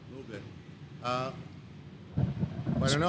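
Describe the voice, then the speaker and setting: Someone speaks at a moderate pace with fairly even intonation and audible room echo. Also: man. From Israel. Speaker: gun range owner. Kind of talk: casual chat. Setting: gym.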